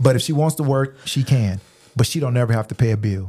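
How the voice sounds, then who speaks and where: Medium-pitched man's voice, somewhat breathy, dark and mellow, with a dry, close sound and no echo. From military bases, Louisiana, Germany, Austin. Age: 40s. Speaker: podcast host, business owner. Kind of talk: casual chat.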